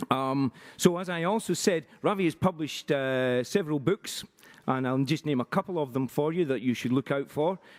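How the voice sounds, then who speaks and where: Speaking in a Glaswegian accent, a man with a fairly high pitch and ordinary pitch variation keeps a moderate pace in a dry, close sound with no echo. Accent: Glaswegian Scottish. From Scotland, Glasgow. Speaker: conference session chair. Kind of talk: speaker introduction. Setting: conference in Paris with audience. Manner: halting, many fillers.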